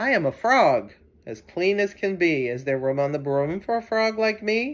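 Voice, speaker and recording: A croaky, put-on character voice moves at a moderate pace. Its pitch swings very widely. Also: female-sounding voice, medium pitch for a woman. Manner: polite, eager.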